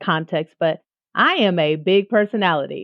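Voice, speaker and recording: A fairly slow pace with ordinary pitch variation. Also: woman. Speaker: music teacher and entrepreneur. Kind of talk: interview conversation. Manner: loud; animated.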